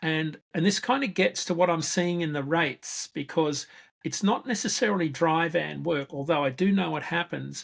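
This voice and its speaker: An Australian accent on a very clean recording with a silent background. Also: moderate pace. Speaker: freight market analyst. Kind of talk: interview.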